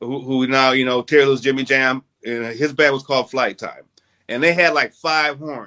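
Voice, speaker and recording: With an American accent, a man speaks at a moderate pace and medium pitch, in a bright, sharp tone with fairly even intonation. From North Minneapolis, US Midwest. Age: 60s. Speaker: musician. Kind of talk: interview.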